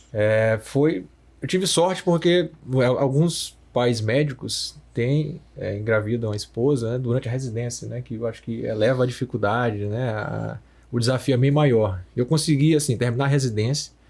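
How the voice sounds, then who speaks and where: The man's voice is somewhat breathy, medium in pitch, with ordinary pitch variation and a moderate pace. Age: 30s. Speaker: radiologist. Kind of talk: podcast conversation.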